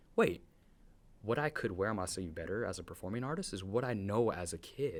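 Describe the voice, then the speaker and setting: A man with an American accent speaks in a fairly low voice. His pace is fairly quick and his intonation lively. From US West Coast, East Side San Jose, California. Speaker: community organizer and performing artist. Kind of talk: casual interview conversation. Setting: studio. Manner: loud.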